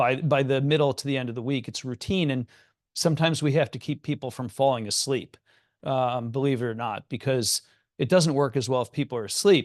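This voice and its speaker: A man talks at a fairly quick pace and a medium pitch, with ordinary pitch variation. The sound is dry and close with no echo, against a quiet background. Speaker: psychiatrist. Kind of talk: lecture. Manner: fast.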